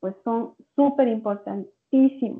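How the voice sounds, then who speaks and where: A woman with a high voice speaks very slowly with ordinary pitch variation. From Ecuador. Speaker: clinical psychologist. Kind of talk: interview.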